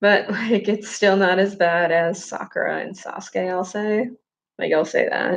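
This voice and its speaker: At a fairly slow pace, a woman speaks at a medium pitch with vocal fry and fairly even intonation. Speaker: video creator talking to viewers. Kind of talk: casual livestream chat. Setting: library. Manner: monotone.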